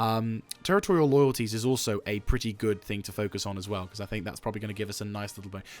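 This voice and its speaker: A man with a fairly low voice talks at a very fast pace over background music, his intonation fairly even but his loudness swinging widely. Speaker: gaming video creator. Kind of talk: gameplay commentary. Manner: subdued, toned down; normally loud, bombastic.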